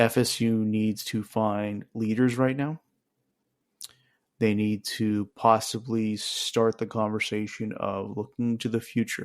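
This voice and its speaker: Very slow, monotone, flat delivery from a man of medium pitch, on a very clean recording with a silent background. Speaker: sports podcast host. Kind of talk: solo sports reaction podcast.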